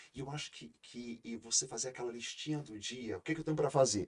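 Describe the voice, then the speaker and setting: A man's medium-pitched voice at a fairly quick pace with ordinary pitch variation. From Brazil, interior of Ceará. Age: 40s. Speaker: law professor and lawyer. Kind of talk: podcast interview. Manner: hesitant, many filler repetitions.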